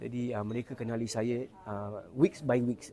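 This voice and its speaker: A man is talking. His voice has a medium pitch. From Singapore. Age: 40s. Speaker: singing competition contestant. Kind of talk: casual interview. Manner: hesitant, many fillers.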